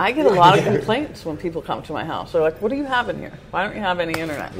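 Talking at a very fast pace with a New York accent, a woman's voice makes very wide pitch swings and big swings in loudness against noticeable background noise. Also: medium pitch for a woman. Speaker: radio show co-host. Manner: lively, laughing, chatty.

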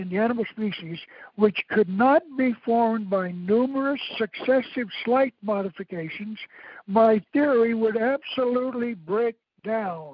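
A man at a high pitch, moderate in pace, with ordinary pitch variation. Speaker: historian and author. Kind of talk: interview lecture. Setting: phone call.

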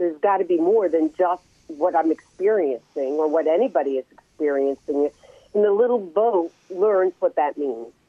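Using a normal speaking voice, a woman speaks at a moderate pace with a fairly low pitch and lively intonation. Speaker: author and reverend. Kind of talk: interview.

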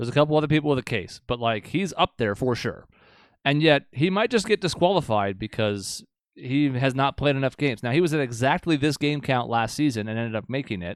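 Intonation is lively in an ordinary speaking voice that goes at a fairly quick pace. The background is silent in this very clean recording. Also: man, medium pitch for a man. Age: 30s. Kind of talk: casual chat. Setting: home studio, streamed live on YouTube.

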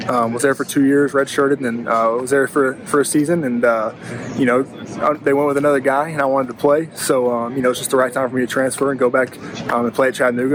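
A man talks at a very fast pace with monotone, flat intonation and a medium pitch. Noticeable background noise runs underneath. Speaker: college quarterback, draft prospect. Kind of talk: interview.

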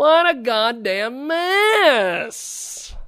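In a very clean recording with a silent background, a man uses a raised, projected voice with very wide pitch swings. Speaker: radio host. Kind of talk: casual interview chat. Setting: live radio studio. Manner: halting, many fillers.

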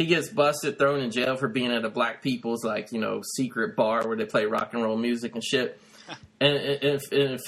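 A man at a moderate pace. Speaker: podcast host, movie reviewer. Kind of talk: casual chat, profane banter. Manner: animated, excitable.

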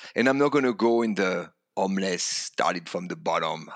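In a French accent, a man speaks with a very deep, low pitch and lively intonation. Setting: video call.

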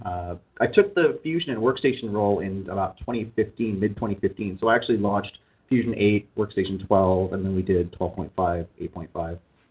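A man with a Canadian accent has a plain, everyday voice and a fairly low pitch. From Canada. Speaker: product line manager. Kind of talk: interview. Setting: studio.

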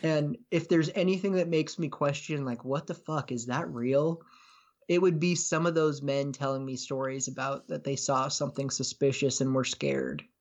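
A man at a moderate pace in an ordinary speaking voice, fairly high-pitched with ordinary pitch variation. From US Pacific Northwest. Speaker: podcaster and case researcher. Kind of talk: casual chat.

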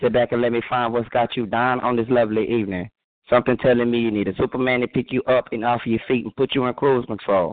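A man with an American accent talks at a very fast pace. His medium-pitched voice has a monotone, flat intonation. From Texas. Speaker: poet. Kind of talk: spoken word poetry performance. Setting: phone call.

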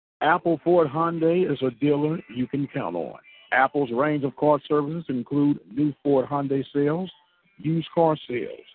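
Over music in the background, a man talks at a moderate pace in a fairly high pitch with ordinary pitch variation. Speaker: radio host. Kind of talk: radio dj patter, station-ID and sound-check chatter. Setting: on the road, sound test. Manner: upbeat, chatty, punchy.

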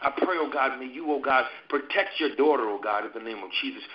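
In a normal speaking voice, a man moves along at a fairly quick pace with ordinary pitch variation. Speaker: prayer line participant. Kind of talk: intercessory prayer.

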